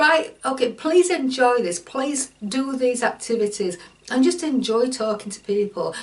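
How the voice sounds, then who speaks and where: A woman's high voice with very wide pitch swings over noticeable background noise. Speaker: online course teacher. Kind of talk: tutorial. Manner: halting.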